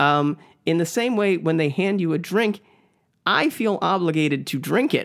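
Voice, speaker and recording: A man's high-pitched voice with lively intonation and very even loudness. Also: moderate pace. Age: 30s. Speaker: podcast co-host, dog walker. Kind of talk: casual storytelling chat.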